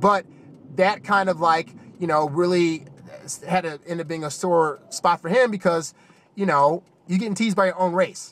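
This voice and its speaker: Using an American accent, a man speaks at a high pitch with fairly even intonation. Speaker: YouTube commentator. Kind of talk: casual commentary monologue. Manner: fast.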